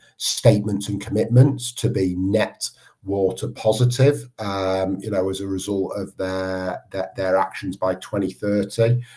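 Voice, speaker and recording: This man talks at a fairly slow pace in a Manchester accent, his pitch fairly low with ordinary variation. His tone is dark and mellow, and the background is quiet. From northern England, Manchester. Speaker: water industry research chief executive. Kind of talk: podcast interview.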